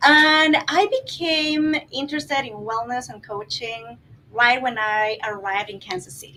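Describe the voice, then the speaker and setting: In a Guatemalan accent, a woman speaks with a high, bright, sharp voice, lively intonation and big swings in loudness. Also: fairly slow pace. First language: Spanish. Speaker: life coach. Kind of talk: panel discussion. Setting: filmed in wellness center.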